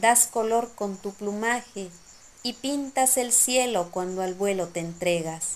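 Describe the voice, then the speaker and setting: A woman with a gentle tone talks at a fairly slow pace with lively intonation. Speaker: poet. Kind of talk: poetry reading, spoken word. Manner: slow, gentle, contemplative, lyrical; soft-spoken, wistful and nostalgic. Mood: calm, lyrical. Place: home room. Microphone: phone near.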